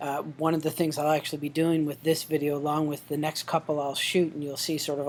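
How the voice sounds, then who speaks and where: At a fairly quick pace, a man delivers his lines in a fairly high, monotone, flat voice. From Newfoundland, Canada. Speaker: professor. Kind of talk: course welcome video. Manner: hesitant, many fillers.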